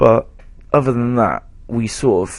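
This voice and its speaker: A fairly slow delivery with an English accent. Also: man. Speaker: gaming YouTuber. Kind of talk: gameplay voiceover. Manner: casual, rambling with fillers.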